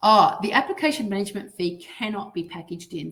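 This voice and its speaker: The speaker is a woman with an Australian accent. Her voice sits at a medium pitch. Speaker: dental finance consultant presenting. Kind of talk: webinar presentation. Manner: fast.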